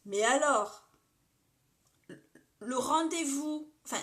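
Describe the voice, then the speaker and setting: A woman speaks with ordinary pitch variation. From Lorraine, France (Metz). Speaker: makeup live streamer. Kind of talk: casual makeup tutorial livestream. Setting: live stream reading viewer comments. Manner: chatty, informal.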